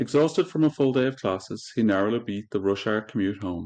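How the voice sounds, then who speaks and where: With an Irish accent, a man speaks in a dark, mellow tone at a fairly low pitch against a quiet background. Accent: Irish brogue. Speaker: podcast host and audiobook reader. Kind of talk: reading aloud. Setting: podcast recording on video.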